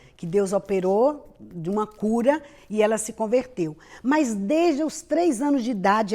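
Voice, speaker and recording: This woman has a plain, everyday voice. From Brazil, Bahia. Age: 50s. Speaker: pastor and missionary. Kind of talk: interview testimony.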